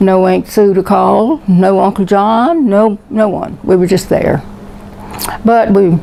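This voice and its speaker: A woman with an American accent and ordinary pitch variation, against noticeable background noise. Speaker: war veteran. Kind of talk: oral history interview, personal storytelling.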